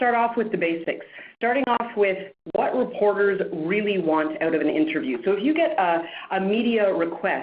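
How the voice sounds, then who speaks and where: Pitch swings very widely at a moderate pace, in a strong Canadian accent. Loudness stays very even, with audible room echo. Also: woman. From Canada, Montreal. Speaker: media trainer and producer. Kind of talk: webinar presentation.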